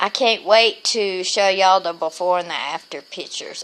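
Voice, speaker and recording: A woman talks at a moderate pace in a medium pitch with ordinary pitch variation. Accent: Southern US. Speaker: vlogger with lupus. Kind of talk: casual video diary.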